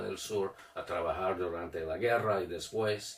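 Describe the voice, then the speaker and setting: Very slow speech in an American accent, with ordinary pitch variation and noticeable background noise. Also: man. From Detroit, US Midwest. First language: English (speaking Spanish). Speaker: writer and retired teacher. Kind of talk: interview. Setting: studio video recording. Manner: halting, many hesitations and restarts.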